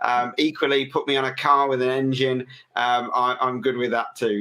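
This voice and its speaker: A man with an English accent speaks at a medium pitch in a bright, sharp tone, on a very clean recording with a silent background. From England. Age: 40s. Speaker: business owner, podcast guest. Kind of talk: interview. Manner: hesitant, many fillers.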